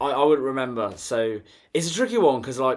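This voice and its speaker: A man races along very fast, his intonation lively. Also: very clean recording, silent background. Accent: British. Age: 20s. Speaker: vlogger. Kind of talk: casual monologue. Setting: bedroom. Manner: laughing.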